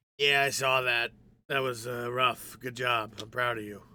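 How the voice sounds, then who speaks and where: A man uses a put-on character voice with a weary tone and monotone, flat intonation. He speaks at medium pitch and a moderate pace. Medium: actual play. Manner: curt, world-weary.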